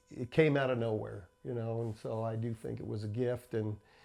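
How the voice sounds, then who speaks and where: Speaking at a moderate pace, a man with an American accent has a dark, mellow tone and fairly even intonation. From New Jersey. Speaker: inventor. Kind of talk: interview.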